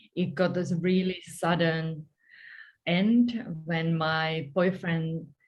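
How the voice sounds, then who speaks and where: In a Finnish accent, a woman speaks very slowly in a somewhat breathy, fairly low voice with ordinary pitch variation. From Finland, countryside. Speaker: story coach and author. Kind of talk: interview.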